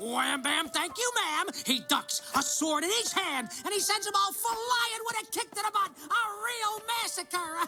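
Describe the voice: Over faint music in the background, a man does a cartoonish character voice at an extremely high pitch, with a bright, sharp tone, ordinary pitch variation, few pauses, and a moderate pace.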